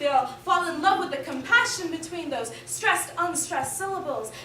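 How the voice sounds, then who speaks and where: A woman projects her voice, speaking raised and loud. Audible room echo and noticeable background noise surround her. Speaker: poet. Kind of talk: spoken word performance.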